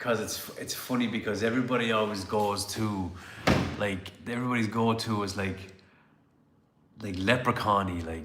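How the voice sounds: A man's fairly low voice in an Irish accent, with fairly even intonation, a moderate pace, long, frequent pauses and noticeable background noise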